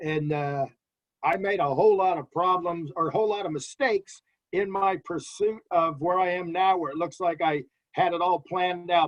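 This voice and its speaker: Someone with an American accent talks at a fairly quick pace. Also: man. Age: 60s. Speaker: farm interpreter. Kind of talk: interview. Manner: animated.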